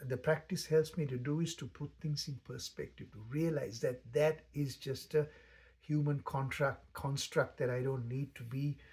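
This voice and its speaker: The delivery is somewhat breathy, with fairly even intonation and a fairly slow pace. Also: man. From Sri Lanka. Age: 60s. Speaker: meditation teacher. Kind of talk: spoken reflection. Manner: halting.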